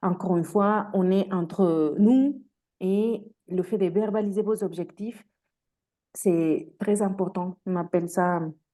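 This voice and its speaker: In a Mexican accent, a woman speaks at a very slow pace with a medium pitch, a dark, mellow tone and fairly even intonation over a quiet background. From Mexico. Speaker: career coach. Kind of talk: webinar presentation. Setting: video call. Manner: hesitant, many fillers.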